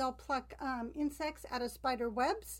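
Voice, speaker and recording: American-accented woman's voice, a very clean recording with a silent background. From California. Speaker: podcast co-host, bird-feeding enthusiast. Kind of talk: casual chat. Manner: hesitant, frequent ums.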